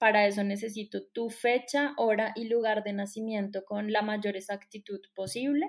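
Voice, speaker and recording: In a Colombian accent, a woman speaks with fairly even intonation and hardly any pauses. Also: fairly high pitch for a woman, moderate pace. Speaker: astrologer. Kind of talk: interview.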